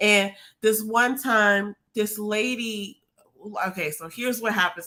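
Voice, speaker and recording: A woman's medium-pitched voice has a bright, sharp tone. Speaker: livestream co-host. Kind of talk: casual chat. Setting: live stream. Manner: fast.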